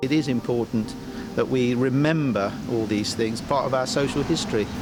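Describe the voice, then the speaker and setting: Noticeable background noise sits behind a man with a Guernsey accent whose medium-pitched voice holds very even loudness. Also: ordinary pitch variation, moderate pace. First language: Guernsey French. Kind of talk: casual reminiscence.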